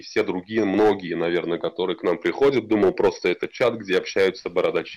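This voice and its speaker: Against a quiet background, a man is speaking. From Tatarstan, Kukmor area (village). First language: Tatar (speaking Russian). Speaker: builder, beard club captain. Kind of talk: casual interview.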